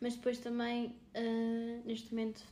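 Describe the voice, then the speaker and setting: With audible room echo and noticeable background noise, a woman speaks fairly slowly at a fairly high pitch. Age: 20s. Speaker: podcast co-host, marketing graduate. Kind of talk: casual chat.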